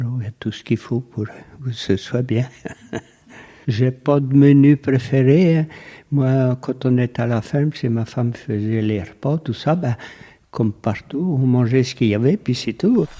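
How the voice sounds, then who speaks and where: This man has a medium-pitched voice with a dark, mellow tone. He talks fairly slowly, with ordinary pitch variation. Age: 80s. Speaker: retired farmer. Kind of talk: interview.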